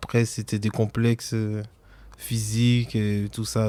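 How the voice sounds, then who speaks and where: A man at a very slow pace, fairly low in pitch, with a slight Antillean accent and monotone, flat intonation. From French Antilles. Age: 30s. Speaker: podcast guest. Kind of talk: personal interview. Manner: hesitant.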